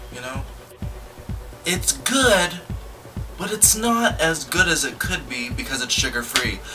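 Clear music plays in the background. A man speaks over it at a moderate pace. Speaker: video blogger. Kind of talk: casual music video reaction chat. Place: home room. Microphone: phone near.

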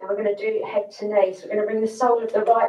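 Against a quiet background with audible room echo, a woman speaks in a monotone, flat intonation. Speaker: yoga instructor. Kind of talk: guided yoga class, calm step-by-step instructions. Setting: livestream to online audience. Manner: calm, slow, soothing cueing; slightly nervous, friendly, chatty. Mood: calm, soothing. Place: home room. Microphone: camera far.

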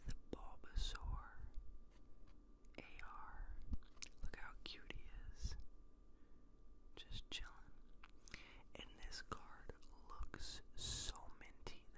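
Very slow speech from a man with long, frequent pauses, dry sound with no echo, and loud background noise. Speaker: ASMR creator. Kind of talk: ASMR talk to camera. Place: home room. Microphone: studio mic.

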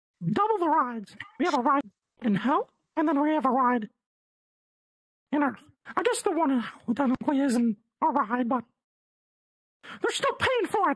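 Put-on character voice, pitched high. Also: moderate pace. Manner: scheming, casual.

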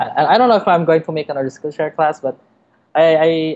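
Speaking at a fairly quick pace, a man with a Filipino accent has a fairly high pitch. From Philippines. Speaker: designer and illustrator; podcast guest. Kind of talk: interview. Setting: remote call. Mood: relaxed, laughing at times. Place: home room. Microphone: webcam.

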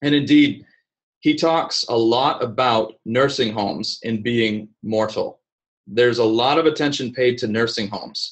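Speaking at a fairly slow pace, a man uses an ordinary speaking voice of medium pitch with ordinary pitch variation. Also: quiet background. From Vienna, Austria (American missionary family), then US. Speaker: speaker. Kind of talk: lecture. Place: office. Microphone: webcam.

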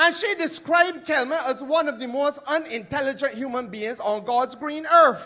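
A man with a Barbadian accent, extremely high in pitch, in a raised, projected voice with ordinary pitch variation. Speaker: politician. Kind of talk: political rally speech. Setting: stage with audience.

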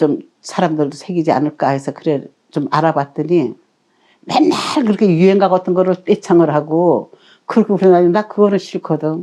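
A woman speaks in a fairly low, dark, mellow voice. Her pace is moderate, with ordinary pitch variation. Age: 80s+. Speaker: storyteller, devout church elder. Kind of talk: interview answer.

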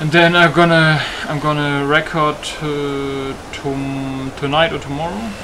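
Over noticeable background noise, a man with a German accent talks fairly slowly in a fairly high pitch, keeping his intonation fairly even. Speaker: gaming YouTuber and modder. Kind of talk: gameplay commentary. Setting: home recording at PC. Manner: casual, profane.

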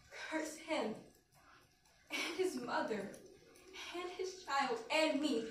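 Fairly slow speech from a woman with very wide pitch swings, set against light background noise and audible room echo. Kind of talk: dramatic monologue performance. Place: classroom. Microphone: camera far.

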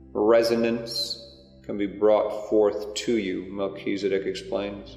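Over music in the background, a man speaks with a gentle tone at a very slow pace. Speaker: meditation guide, spiritual channel. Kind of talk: guided meditation. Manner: slow, gentle, calming.

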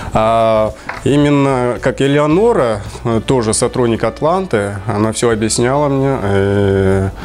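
Delivered at a very slow pace, the speech has very even loudness and ordinary pitch variation, with light background noise behind it. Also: man, medium pitch for a man. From Kyrgyzstan. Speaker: visa client giving a testimonial. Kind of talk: interview testimonial. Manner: halting. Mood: pleased, smiling. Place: office. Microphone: lapel.

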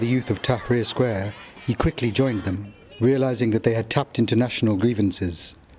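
Music plays in the background as a man talks at a fairly quick pace. His pitch is medium and varies in an ordinary way. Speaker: news correspondent. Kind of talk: news report narration.

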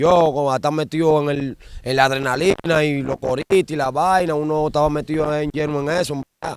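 A man speaks in a Dominican accent. His pitch is fairly high and his intonation fairly even. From Dominican Republic, Santo Domingo (La Ciénaga, Guachupita). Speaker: former street gang member turned dembow singer. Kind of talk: interview.

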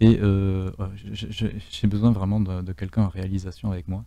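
A man talks in a very deep, low voice with a dark, mellow tone. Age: 30s. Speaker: streamer and game host. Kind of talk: live game stream commentary. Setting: voice chat from home. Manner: animated.

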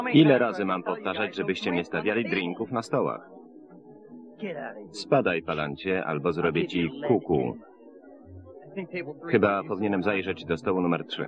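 Over background music, the speaker moves at a moderate pace with lively intonation and long, frequent pauses. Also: man, very deep, low pitch for a man. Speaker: film voice-over reader. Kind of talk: single-voice film voice-over translation.

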